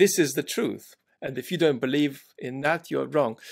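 A man talks at a moderate pace with ordinary pitch variation against a quiet background. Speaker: remote podcast guest. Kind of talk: interview answer. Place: home room.

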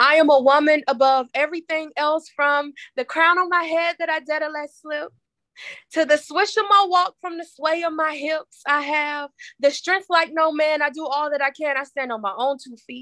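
With an American accent, a woman projects a raised voice in a bright, sharp tone, with ordinary pitch variation, big swings in loudness and a dry sound with no echo. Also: moderate pace, quiet background. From US South, Tennessee. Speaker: poet and author. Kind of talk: casual interview; spoken word poetry. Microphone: video call.

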